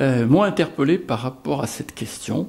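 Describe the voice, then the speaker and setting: The pace is very slow. A man is doing the talking. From France, Lyon. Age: 60s. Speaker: deacon candidate. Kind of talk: testimony. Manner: halting, many hesitations.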